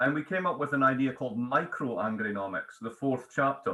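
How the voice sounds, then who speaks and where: Bright and sharp in tone, this voice speaks with a Scottish accent and ordinary pitch variation. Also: man. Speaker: economics professor and author. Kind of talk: interview.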